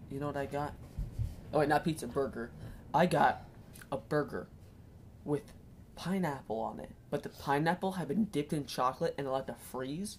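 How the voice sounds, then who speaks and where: A woman speaks with a very deep, low pitch and ordinary pitch variation. Her pace is fairly quick, broken by long, frequent pauses. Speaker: podcast co-host. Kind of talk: casual chat.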